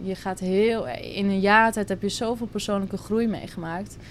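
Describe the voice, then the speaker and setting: The pace here is fairly slow. It is an ordinary speaking voice, with fairly even intonation. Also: woman. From Netherlands, Drenthe. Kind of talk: casual interview.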